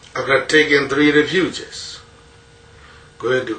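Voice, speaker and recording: Speaking in a Burmese accent, a man goes at a very slow pace. Background noise is noticeable. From rural Myanmar. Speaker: Buddhist monk teacher. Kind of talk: dharma talk.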